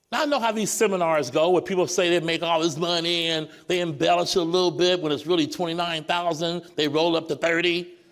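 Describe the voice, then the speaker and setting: Pitched high for a man, his animated tone runs at a fairly quick pace with hardly any pauses. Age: 60s. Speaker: senior sales director speaking at company event. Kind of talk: motivational stage speech. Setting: stage with live theater audience.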